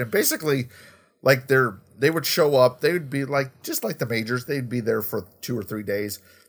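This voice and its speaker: Animated in tone, a man talks at a moderate pace with ordinary pitch variation. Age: 40s. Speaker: podcast co-host. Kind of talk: casual chat.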